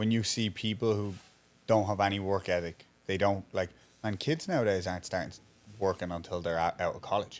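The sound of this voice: Low male pitch at a fairly quick pace, with ordinary pitch variation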